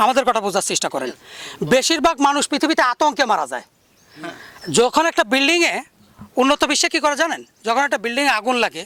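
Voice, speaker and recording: Extremely high in pitch, a man speaks in a raised, projected voice with lively intonation, the sound dry and close with no echo. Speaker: snake rescuer and awareness campaigner. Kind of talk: field interview and debate. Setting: outdoors.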